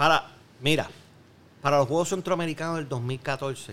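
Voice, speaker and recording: His voice is bright and sharp, fairly high for a man, with ordinary pitch variation. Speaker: Olympic skeet shooter. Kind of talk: casual chat.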